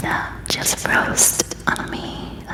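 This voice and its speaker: A woman whispers over noticeable background noise. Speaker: ASMR creator. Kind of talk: ASMR personal questions game, casual talk to camera. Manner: soft-spoken, whispering.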